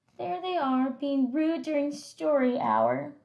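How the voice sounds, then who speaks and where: A woman uses a put-on character voice at a high pitch. She is soft-spoken and talks at a fairly slow pace. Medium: read story. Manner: sweet, soft.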